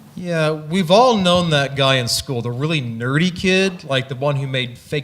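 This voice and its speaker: A man talks at a moderate pace with a fairly high pitch and ordinary pitch variation. Noticeable background noise runs under his voice. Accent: American. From US Midwest, Missouri. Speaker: astronomer. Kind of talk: interview on stage.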